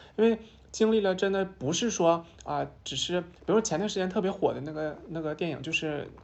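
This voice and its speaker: A woman talks at a fairly quick pace, and her pitch varies in an ordinary way. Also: medium pitch for a woman. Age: 20s. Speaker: transgender woman sharing her life story. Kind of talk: casual chat. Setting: office meeting room, candlelit, with wine.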